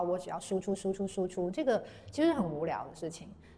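Lively intonation carries a fairly quick delivery over noticeable background noise. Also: woman. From southern China, Guangzhou. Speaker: paper-cut artist. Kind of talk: interview conversation.

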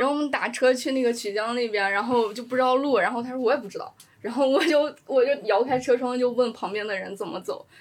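A woman talks at a very fast pace with a high pitch and ordinary pitch variation. There is noticeable background noise. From China, Shaanxi, small city near Xi'an. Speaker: sports journalist. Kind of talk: casual chat.

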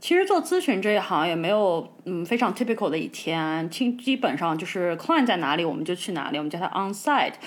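Using an ordinary speaking voice at medium pitch, a woman talks at a fairly quick pace with hardly any pauses and lively intonation, on a very clean recording with a silent background. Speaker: podcast co-host. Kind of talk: casual chat.

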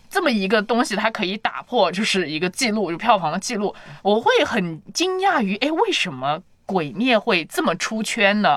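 A woman speaks at a medium pitch and a moderate pace, her tone animated with very wide pitch swings. Noticeable background noise runs under her voice. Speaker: podcast host. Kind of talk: casual chat.

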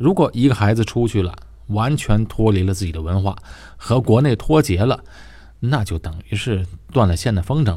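A somewhat breathy voice with a dark, mellow tone and lively intonation moves at a moderate pace. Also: man, fairly low pitch for a man. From Tianjin, northern China. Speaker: podcast host. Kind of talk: casual monologue.

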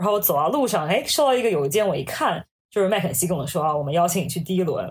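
A woman speaks in a somewhat breathy voice. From China, Hangzhou. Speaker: management consultant. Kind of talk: casual interview chat.

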